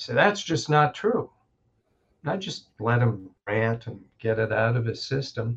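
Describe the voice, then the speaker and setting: Somewhat breathy, a man speaks at a fairly slow pace and medium pitch with ordinary pitch variation. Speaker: chiropractor and educator. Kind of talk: casual interview conversation.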